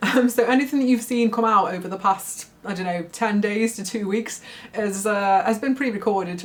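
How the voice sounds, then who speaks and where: Amid noticeable background noise, a woman with a fairly high pitch speaks at a moderate pace and ordinary pitch variation. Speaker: book reviewer. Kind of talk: casual talk to camera.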